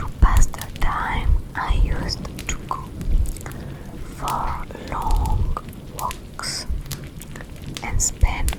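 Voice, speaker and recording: A breathy, whispering woman with big swings in loudness, long, frequent pauses and music in the background. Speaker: ASMR creator. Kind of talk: scary story reading.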